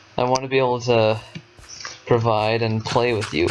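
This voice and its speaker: Noticeable background noise sits behind a man speaking in a flat monotone at medium pitch and a moderate pace. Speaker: gaming youtuber. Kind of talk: casual gameplay commentary. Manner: halting.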